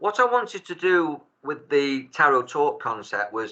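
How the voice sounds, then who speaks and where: A speaker with a Manchester accent and a bright, sharp tone. The pitch varies in an ordinary way. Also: man. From Salford, Greater Manchester, England. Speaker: tarot reader and life coach. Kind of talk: casual chat. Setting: video call.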